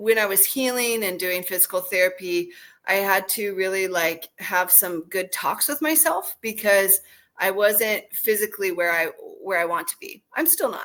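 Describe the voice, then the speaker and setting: The speaker has an ordinary speaking voice with an American accent and ordinary pitch variation. It is a very clean recording with a silent background. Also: woman, medium pitch for a woman, moderate pace. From United States. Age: 40s. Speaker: podcast host. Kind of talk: casual chat.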